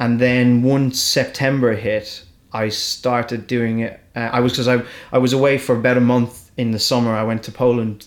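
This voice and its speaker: Delivered at a fairly quick pace in an Irish accent, the speech keeps a monotone, flat intonation. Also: man. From Ireland. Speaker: comedian. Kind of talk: casual chat. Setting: studio. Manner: halting.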